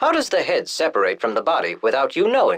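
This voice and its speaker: Someone rattles off lines in a put-on character voice at a very fast pace. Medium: video game. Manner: stiff, formal, literal.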